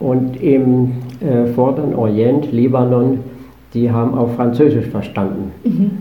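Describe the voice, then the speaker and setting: With audible room echo and noticeable background noise, a man speaks at a fairly slow pace and medium pitch, with ordinary pitch variation. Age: 80s+. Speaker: motorcycle traveler. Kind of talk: interview. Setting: studio.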